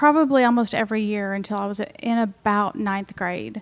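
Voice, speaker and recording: A woman talks at a moderate pace in a fairly high voice with ordinary pitch variation. It is an unremarkable speaking voice. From Texas and Missouri. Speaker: nonprofit foundation leader. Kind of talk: casual interview.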